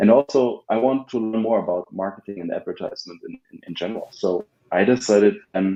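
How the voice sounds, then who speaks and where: A man's dark, mellow voice with a German accent, ordinary pitch variation and a moderate pace. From Germany. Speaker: ad agency founder. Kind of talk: podcast interview. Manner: halting, many fillers and repeats.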